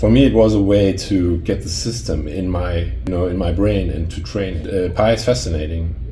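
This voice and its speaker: With a Danish accent, a man with a very deep, low voice talks at a moderate pace with lively intonation and hardly any pauses, over music in the background and audible room echo. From Denmark. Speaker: memory sports competitor and keynote speaker. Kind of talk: interview conversation. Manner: hesitant, with fillers and repeated words.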